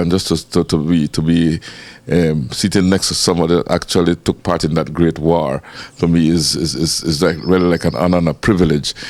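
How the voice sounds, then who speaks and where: At a fairly quick pace, a man speaks with fairly even intonation in a very deep, low voice. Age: 60s. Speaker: TV interviewer. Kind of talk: interview.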